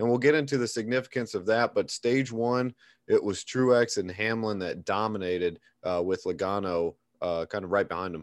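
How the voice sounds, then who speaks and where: In an ordinary speaking voice, a man speaks at a moderate pace and medium pitch with ordinary pitch variation against a quiet background. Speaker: podcast host. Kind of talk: casual podcast chat.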